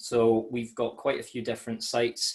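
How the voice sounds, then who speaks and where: A man is speaking. He has a Scottish accent. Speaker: malt sales manager. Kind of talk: webinar presentation. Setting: home office, online webinar. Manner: many fillers and hesitations.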